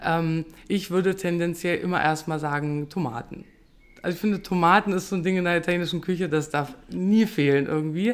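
A woman speaks at a fairly quick pace in a normal speaking voice. Her pitch is fairly low, with ordinary variation. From Lower Saxony, Germany. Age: 30s. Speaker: restaurant owner. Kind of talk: casual chat; recipe tutorial.

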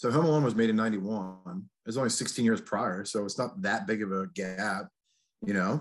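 At a moderate pace, a man speaks in a plain, everyday voice, fairly low in pitch with ordinary pitch variation. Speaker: podcast co-host. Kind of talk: casual chat. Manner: casual, chatty.

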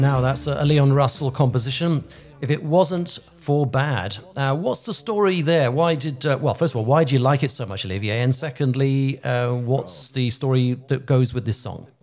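This man talks at a moderate pace with a British accent and hardly any pauses. His pitch sits in the medium range with ordinary variation. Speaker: radio host. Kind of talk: interview, friendly chat.

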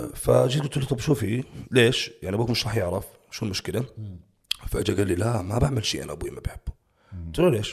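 At a very fast pace, a man speaks at medium pitch with vocal fry. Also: lively intonation. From Jordanian family, raised in Saudi Arabia. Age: 30s. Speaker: bodybuilding coach. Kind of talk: casual interview chat.

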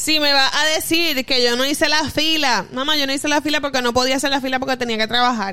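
A woman's raised, projected voice at high pitch, very fast with hardly any pauses, fairly even in intonation and very even in loudness, over music in the background. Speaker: podcast co-host. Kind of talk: casual chat.

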